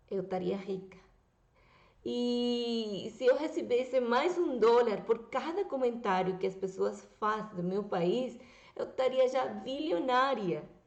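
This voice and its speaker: Speaking very slowly with a Venezuelan accent, a woman's voice carries audible room echo. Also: fairly high pitch for a woman, lively intonation. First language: Spanish (speaking Portuguese). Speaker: YouTuber. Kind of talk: political commentary vlog.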